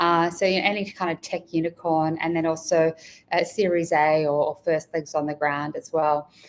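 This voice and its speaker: The intonation is monotone and flat, in an Australian accent. The pace is moderate. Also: woman, fairly low pitch for a woman. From rural Australia. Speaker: executive recruiter. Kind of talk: interview.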